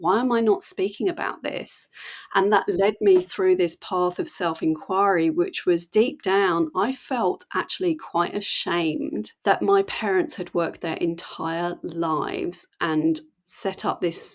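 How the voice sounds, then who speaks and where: In a very clean recording with a silent background, a woman speaks with an English accent. Her medium-pitched voice moves at a fairly slow pace with lively intonation. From England. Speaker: mindset coach. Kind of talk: podcast conversation.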